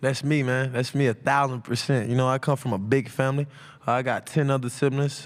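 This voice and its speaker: On a very clean recording with a silent background, a man delivers his words fast-ish, at a fairly quick pace, with medium pitch and monotone, flat intonation. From US South, Atlanta, Georgia. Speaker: college football player. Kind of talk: press conference Q&A. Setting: media day press room. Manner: loud.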